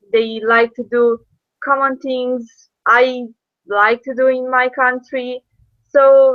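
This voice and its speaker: A woman with a Romanian accent speaks very slowly at a high pitch. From Romania, Iași. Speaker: former intern abroad. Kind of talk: interview. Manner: hesitant, many fillers.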